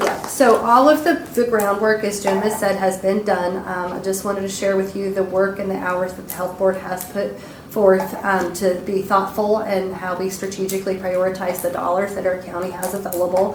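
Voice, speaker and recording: A woman talks at a moderate pace and a medium pitch, monotone and flat, with hardly any pauses. Audible room echo and noticeable background noise fill the recording. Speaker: county health department administrator. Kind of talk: public meeting presentation. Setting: county commissioners meeting room.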